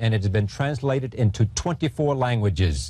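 With an American accent, a man talks fairly quickly at a medium pitch in a dark, mellow, somewhat breathy tone, the sound dry with no echo. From United States. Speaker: TV interviewer. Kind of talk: TV show introduction. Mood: calm, measured. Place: studio. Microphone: lapel.

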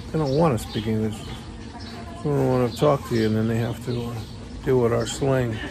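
A man's medium-pitched voice with an American accent, fairly even intonation and a fairly quick pace, dry with no echo, over noticeable background noise. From United States. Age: 60s. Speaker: vlogger, expat in the Philippines; vlogger. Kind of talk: casual vlog monologue. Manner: rambling, halting with many fillers. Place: garage. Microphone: phone near.

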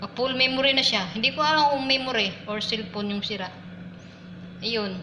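Noticeable background noise and audible room echo surround a woman speaking at a moderate pace with ordinary pitch variation. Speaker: domestic worker vlogger. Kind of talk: cooking vlog. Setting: kitchen. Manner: casual, chatty with laughs.

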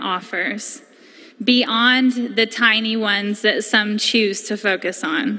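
A woman speaks very slowly in a bright, sharp tone with fairly even intonation. The background is quiet. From Haywood County, North Carolina. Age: 20s. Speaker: community member. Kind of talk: public comment speech at county board meeting. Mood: earnest, emotional, personal story. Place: hall. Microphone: podium.

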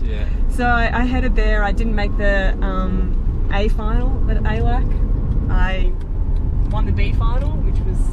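A woman speaks at a fairly slow pace with long, frequent pauses. Loud background noise fills the dry sound with no echo. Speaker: interview guest. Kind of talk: interview answer. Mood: relaxed, chatty, laughing. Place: car. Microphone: camera far.

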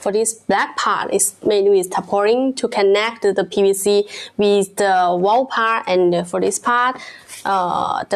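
Her intonation fairly even, a woman speaks at a fairly slow pace. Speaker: product seller. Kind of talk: product demonstration live stream. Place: studio. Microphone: phone near.

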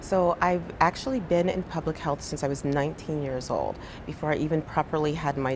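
Over noticeable background noise, a woman with an American accent and a very deep, low pitch talks at a moderate pace with ordinary pitch variation. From New Jersey, Monmouth County. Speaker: physician and public health leader. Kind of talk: interview. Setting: conference. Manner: hesitant with many fillers. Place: studio. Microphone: lapel.

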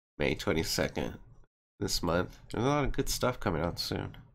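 A man speaks at a moderate pace in an excited tone, with vocal fry. His pitch variation is ordinary. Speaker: gaming video creator. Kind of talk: reaction video. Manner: casual, excited. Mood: excited, impressed. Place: home room. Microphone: headset.

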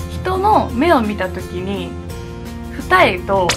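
A woman is speaking. Music can be clearly heard in the background. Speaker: beauty vlogger. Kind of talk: casual vlog chat. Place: home room.

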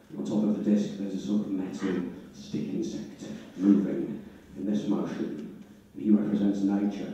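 A man's fairly low voice with ordinary pitch variation, at a moderate pace with long, frequent pauses, in strong room echo and light background noise. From Leeds, northern England; northern England. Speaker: stand-up comedian. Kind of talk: stand-up. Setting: stage with audience. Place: hall. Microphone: handheld.

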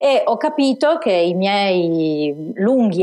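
The speaker is a woman with a Turin accent. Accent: Turin accent, noticeable. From Turin, Italy. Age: 40s. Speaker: business plan author and entrepreneur. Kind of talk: interview conversation.

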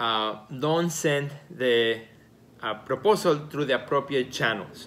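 Heard over light background noise, the voice keeps a moderate pace with ordinary pitch variation. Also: man. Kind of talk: casual advice talk to camera. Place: home room.

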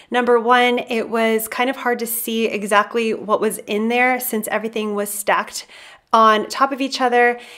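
A woman's unremarkable speaking voice at a fairly high pitch and moderate pace. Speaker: YouTuber, decluttering channel host. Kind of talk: casual vlog with voiceover narration.

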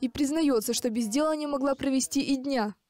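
Her voice is high-pitched with a dark, mellow tone and ordinary pitch variation, moving at a fairly quick pace. The woman's sound is dry and close with no echo. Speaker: TV news reporter. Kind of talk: TV news report.

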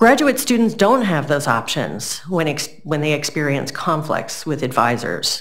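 Over a quiet background, a woman speaks at a very deep, low pitch. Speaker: professor, keynote speaker. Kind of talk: lecture. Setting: stage with audience. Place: hall.

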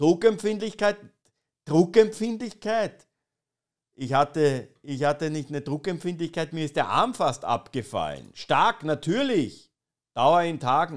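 A man's serious tone with lively intonation, at a fairly slow pace against a quiet background. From Austria. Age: 20s. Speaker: streamer. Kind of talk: satirical live stream commentary. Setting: live stream with chat. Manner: ironic, mock-serious. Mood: ironic, mocking. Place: home room. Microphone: studio mic.

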